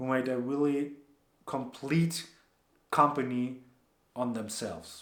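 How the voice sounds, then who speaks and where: With audible room echo, a man speaks with a non-native accent, medium pitch and fairly even intonation. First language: not English. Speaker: entrepreneur and former soldier. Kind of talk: casual vlog recap. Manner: casual, relaxed.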